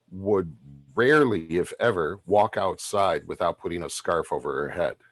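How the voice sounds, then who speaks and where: A man with an ordinary speaking voice talks at fairly low pitch. His intonation is lively. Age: 50s. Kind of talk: panel discussion. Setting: video call.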